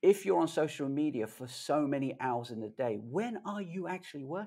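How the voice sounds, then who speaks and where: Speaking at a moderate pace, a man with a fairly high pitch and a dark, mellow tone shows very wide pitch swings and big swings in loudness. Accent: London. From London, England. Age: 50s. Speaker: tech video creator. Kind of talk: casual interview chat. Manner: animated.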